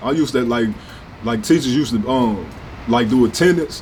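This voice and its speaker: This man speaks at a fairly quick pace in a medium pitch, with an animated tone and ordinary pitch variation. Noticeable background noise and audible room echo come through on the recording. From US Midwest, St. Louis north side. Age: 20s. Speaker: rapper. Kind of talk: interview. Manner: casual, animated.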